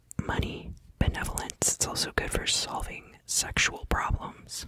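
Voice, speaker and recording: Against noticeable background noise, a whisper unfolds fairly slowly. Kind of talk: ASMR whispered educational narration about astrology. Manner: whispering, soft-spoken.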